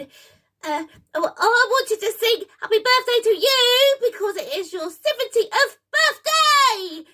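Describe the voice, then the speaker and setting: Extremely high pitch in a put-on character voice at a fairly slow pace. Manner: nervous, excitable.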